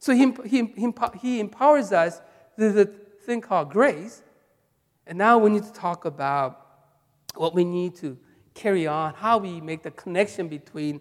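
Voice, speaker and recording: The speaker has a Korean accent. The pace is fairly slow, broken by long, frequent pauses. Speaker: pastor. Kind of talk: sermon. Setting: church. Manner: halting.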